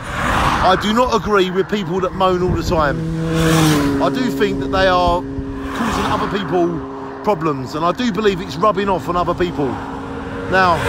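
A man's voice with ordinary pitch variation, a dry sound with no echo, and loud background noise. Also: moderate pace. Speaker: vlogger. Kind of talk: opinion rant vlog. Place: street. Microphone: phone near.

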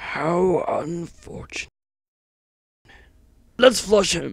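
A cartoonish character voice, raspy throughout. It moves at a very slow pace. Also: man, high pitch for a man. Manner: upbeat, welcoming, tour-guide patter.

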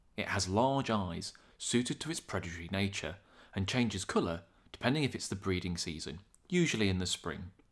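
A man with a British accent and a fairly low pitch speaks at a fairly quick pace with lively intonation. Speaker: wildlife video narrator. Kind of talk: scripted nature documentary narration of fish facts, read steadily. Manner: measured, even and informative; formal, clear and matter-of-fact.

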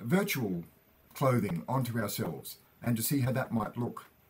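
At a moderate pace, a man talks in a somewhat breathy voice with ordinary pitch variation. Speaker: educator. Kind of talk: lecture.

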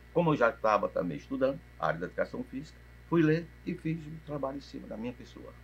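Talking at a very fast pace, a man lets his loudness swing widely. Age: 60s. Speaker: physical education professor. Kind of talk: interview. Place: cafe.

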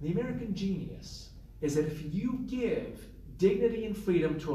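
Over noticeable background noise, a man talks at a moderate pace in a high pitch with lively intonation. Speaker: interfaith leader and author. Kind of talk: panel presentation. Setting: stage with audience.

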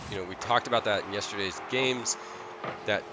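Music plays in the background as a man speaks in an animated tone. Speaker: esports play-by-play caster. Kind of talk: live esports play-by-play commentary. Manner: animated, reactive, with bursts of excitement and laughter; rapid, fluid play-calling that keeps pace with the action.

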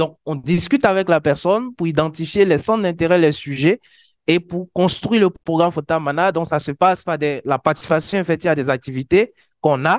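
A high-pitched man's voice with ordinary pitch variation, dry with no echo, against a quiet background. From Côte d'Ivoire. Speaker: wiki community organizer. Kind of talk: conference presentation. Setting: conference stage with audience. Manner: hesitant, many fillers. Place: meeting room.

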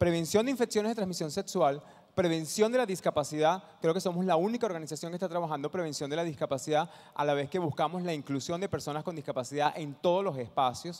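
Against a quiet background, a man speaks very fast at a high pitch with ordinary pitch variation. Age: 50s. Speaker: social entrepreneur; conference presenter. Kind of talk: talk to an audience; conference talk. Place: hall. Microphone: handheld.

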